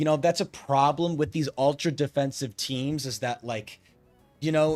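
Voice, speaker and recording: A man's fairly high-pitched voice with ordinary pitch variation over music in the background. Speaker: esports commentator. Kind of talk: live commentary. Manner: animated.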